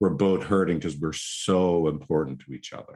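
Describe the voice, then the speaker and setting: Over a quiet background, a man with an Irish accent speaks at a moderate pace. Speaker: psychotherapist. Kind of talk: interview.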